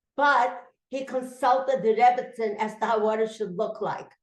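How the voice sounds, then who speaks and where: A woman's fairly high voice at a moderate pace, with audible room echo. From Russia. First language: Yiddish. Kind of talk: testimony.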